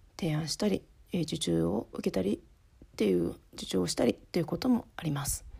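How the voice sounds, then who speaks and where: A woman talks at a fairly quick pace with a very deep, low pitch and vocal fry. Her dark, mellow tone moves through very wide pitch swings. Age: 30s. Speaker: podcast host, office worker and home-based freelancer. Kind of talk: casual solo podcast talk. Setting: recording at home at night while child sleeps. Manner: halting, with many fillers.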